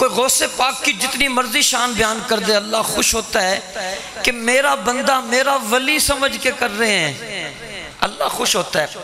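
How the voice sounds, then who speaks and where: A man's extremely high voice at a fairly slow pace with ordinary pitch variation, music in the background. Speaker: Islamic cleric. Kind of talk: religious speech. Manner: animated.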